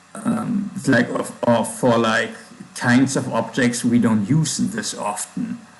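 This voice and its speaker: Over noticeable background noise and audible room echo, a man with a strong German accent speaks at a very slow pace, his pitch swinging very widely. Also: medium pitch for a man. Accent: thick German. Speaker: programmer livestreamer. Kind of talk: coding livestream. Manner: halting, with pauses and fillers.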